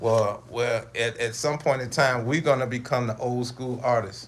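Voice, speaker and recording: Noticeable background noise sits behind a man's voice. His intonation stays fairly even. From Chicago, US Midwest. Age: 40s. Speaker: podcast host. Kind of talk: casual monologue. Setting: at home, livestream. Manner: casual, halting with repetitions.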